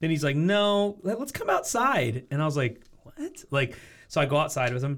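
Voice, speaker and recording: With an American accent and lively intonation, a man talks in a somewhat breathy voice. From US Pacific Northwest, Portland suburb, Oregon. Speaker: entrepreneur. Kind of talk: casual chat.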